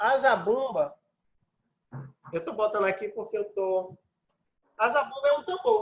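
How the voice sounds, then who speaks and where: With lively intonation and long, frequent pauses, a man talks at a fairly slow pace in a high pitch. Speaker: musician. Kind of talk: lecture. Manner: animated.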